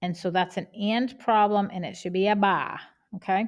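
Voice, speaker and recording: Over a silent background in a very clean recording, a woman with a Boston accent talks at a fairly quick pace and a medium pitch. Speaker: math teacher. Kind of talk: tutorial.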